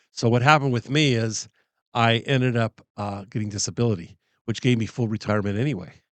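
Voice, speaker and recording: Speaking at a very fast pace with a medium pitch and ordinary pitch variation, a man comes through a dry, close sound with no echo and a quiet background. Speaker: interviewer, retired expat. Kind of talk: casual interview.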